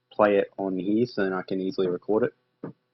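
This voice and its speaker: A man speaks with an Australian accent. His pitch sits fairly low. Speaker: gaming YouTuber. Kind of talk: gameplay commentary. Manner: fast.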